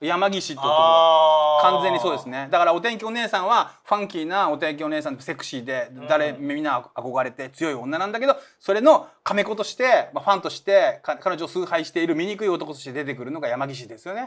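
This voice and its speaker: Barely pausing, a man speaks fairly quickly in a high voice, with lively intonation and big swings in loudness. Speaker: manga artist and channel host; channel host. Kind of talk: casual chat about manga. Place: studio.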